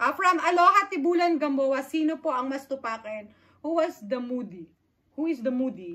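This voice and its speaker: A woman with a high, bright and sharp voice speaks at a moderate pace, her raised, projected delivery swinging very widely in pitch. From Philippines, Aklan. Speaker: vlogger. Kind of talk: casual Q&A chat. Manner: loud; code-switching Taglish.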